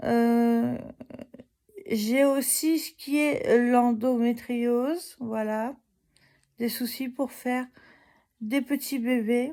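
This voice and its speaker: A woman speaks at a very slow pace with a high pitch and a dark, mellow tone. Her intonation is fairly even. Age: 30s. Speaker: vlogger. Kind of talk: casual vlog. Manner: halting.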